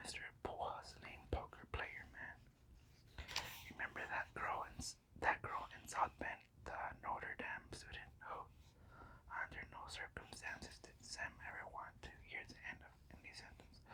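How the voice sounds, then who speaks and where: Someone is whispering. The pace is fairly slow. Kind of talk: ASMR whisper audiobook reading. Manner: whispered.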